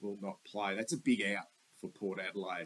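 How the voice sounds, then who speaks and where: This voice carries an Australian accent. Its intonation is lively. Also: man. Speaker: sports vlogger, football fan. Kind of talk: casual sports preview monologue. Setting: voiceover with slides. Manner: rambling, conversational.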